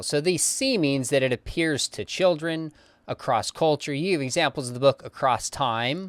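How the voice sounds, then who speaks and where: A man talks at a moderate pace in an ordinary speaking voice. The sound is dry and close with no echo, in a very clean recording with a silent background. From California. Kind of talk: interview.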